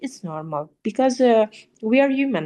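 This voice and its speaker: Against a quiet background, a woman with a dark, mellow tone speaks with very wide pitch swings. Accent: Italian. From Italy. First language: Italian. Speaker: opera singer. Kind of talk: interview answer.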